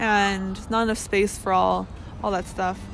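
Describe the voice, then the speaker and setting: Noticeable background noise sits behind the woman who is speaking. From Canada, Metro Vancouver. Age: 20s. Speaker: exchange student. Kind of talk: unscripted personal reflection. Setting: outdoors under trees. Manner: hesitant, many fillers.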